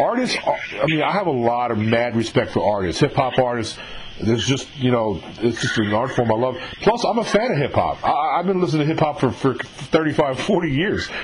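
Over noticeable background noise, a man with an American accent speaks at a moderate pace, his pitch swinging very widely. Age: 50s. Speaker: podcast interviewer. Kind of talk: casual interview.

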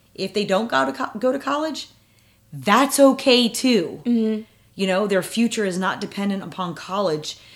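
A woman talks at a moderate pace with lively intonation. Hers is a plain, everyday voice. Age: 40s. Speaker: mother interviewed about parenting. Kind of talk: casual interview.

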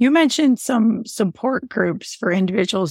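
A woman speaks with a somewhat breathy voice. Her pace is moderate. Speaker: family physician and podcast host. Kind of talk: casual interview.

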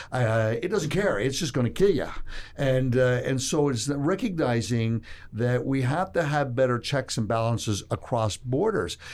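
The speaker is a man with an ordinary speaking voice. His pace is moderate. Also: medium pitch for a man. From Toronto, Canada. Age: 60s. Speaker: investment fund executive. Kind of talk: interview. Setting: studio.

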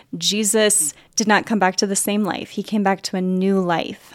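An ordinary speaking voice moves at a fairly slow pace. The recording is very clean, with a silent background and a dry, close sound with no echo. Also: woman. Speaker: podcast host. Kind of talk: casual interview chat.

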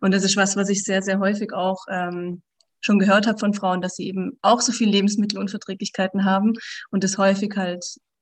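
A woman speaks at a fairly quick pace in a somewhat breathy voice. Her intonation is monotone and flat, over a quiet background. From southern Germany, near the Swiss border. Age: 30s. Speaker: menstrual cycle coach. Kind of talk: podcast interview.

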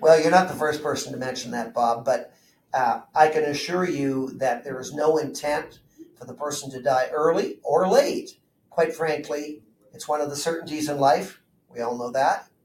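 With a Canadian accent, a somewhat breathy man talks at a moderate pace in a fairly high pitch, showing ordinary pitch variation and big swings in loudness. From Southern Ontario, Canada. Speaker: chartered accountant and financial planner. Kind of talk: interview.

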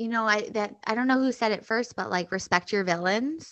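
A woman with an American accent speaks at a fairly quick pace in a fairly high pitch, with an unremarkable speaking voice. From US Midwest (Chicago). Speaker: stand-up comedian and podcast host. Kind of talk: casual chat.

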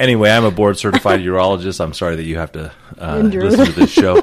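Against noticeable background noise, a man speaks with a very deep, low pitch. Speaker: radio show host, urologist. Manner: radio voice.

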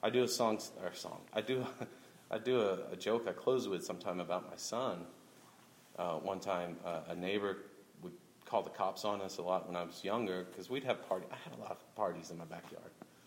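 A man with an American accent and an ordinary speaking voice talks at a fairly quick pace in a fairly low pitch, with ordinary pitch variation and big swings in loudness. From Oklahoma City, Oklahoma. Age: 30s. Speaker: stand-up comedian. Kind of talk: casual interview. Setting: live event with audience.

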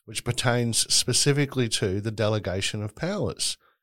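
On a very clean recording with a silent background, a man speaks at a medium pitch with ordinary pitch variation. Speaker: human rights advocate. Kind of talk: interview conversation.

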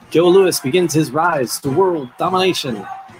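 Music in the background behind a man at a fairly slow pace with ordinary pitch variation. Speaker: podcast host. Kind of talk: casual podcast chat. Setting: museum gallery.

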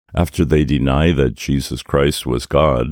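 With vocal fry, a man speaks fairly slowly at a very deep, low pitch and with fairly even intonation. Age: 80s+. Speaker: podcast host. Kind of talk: scripted dialogue.

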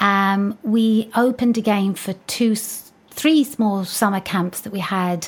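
A woman with an ordinary speaking voice, medium pitch, fairly even intonation and a fairly slow pace. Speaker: dance academy owner. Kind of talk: interview, casual chat.

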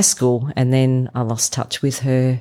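A woman speaks with an Australian accent in a very deep, low pitch. The recording is very clean, with a silent background. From rural Victoria, Australia. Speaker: church member. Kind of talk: interview. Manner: hesitant with fillers.

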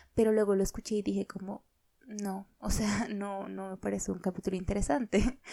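A woman with a normal speaking voice, medium pitch, fairly even intonation and a fairly quick pace. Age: 20s. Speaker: podcast host. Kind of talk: casual monologue.

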